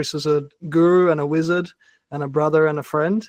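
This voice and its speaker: Over a quiet background, a man with an Australian accent talks in a fairly high pitch with monotone, flat intonation. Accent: thick Australian. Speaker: workshop facilitator and mindset coach. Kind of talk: online workshop talk.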